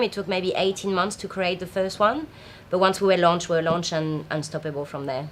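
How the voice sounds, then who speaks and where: A woman speaks with a French accent. Her pitch is medium. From France. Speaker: festival founder. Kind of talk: interview. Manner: hesitant, many fillers.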